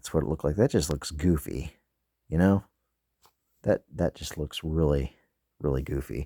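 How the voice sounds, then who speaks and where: A man speaks in a very deep, low voice with a dark, mellow tone and vocal fry, at a moderate pace. The sound is dry and close with no echo, and he leaves long, frequent pauses. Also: ordinary pitch variation. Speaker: toy soldier hobbyist youtuber. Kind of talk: casual tutorial. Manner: casual, filler-heavy.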